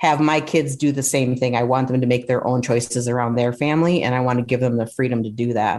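A woman is speaking. The background is quiet. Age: 50s. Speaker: psychotherapist. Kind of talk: casual interview.

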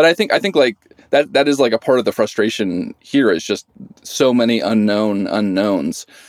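In an American accent, a man speaks at a medium pitch and moderate pace with lively intonation, the sound dry and close with no echo. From Idaho. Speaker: journalist, former wildland firefighter. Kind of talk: interview. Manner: halting, many fillers.

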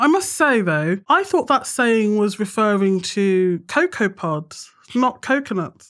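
A woman speaks at a medium pitch with lively intonation on a very clean recording with a silent background. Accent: British. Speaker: podcast host. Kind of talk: casual interview chat.

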